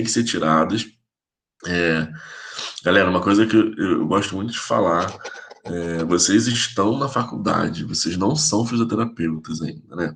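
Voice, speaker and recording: A man speaks in a normal speaking voice. His pace is moderate, with ordinary pitch variation. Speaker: physiotherapy professor. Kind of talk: lecture. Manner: casual, informal.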